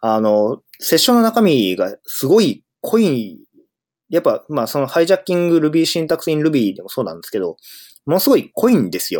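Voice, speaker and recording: The background is silent in this very clean recording. A man talks fairly quickly. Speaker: podcast host, software engineer. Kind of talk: solo casual monologue. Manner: hesitant, many fillers.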